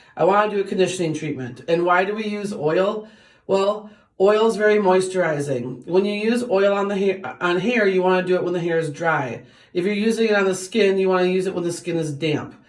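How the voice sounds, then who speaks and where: A woman at a medium pitch talks at a fairly quick pace, with audible room echo. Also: ordinary pitch variation. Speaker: beauty vlogger. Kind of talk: tutorial. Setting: bathroom. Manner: fast; casual, with many fillers.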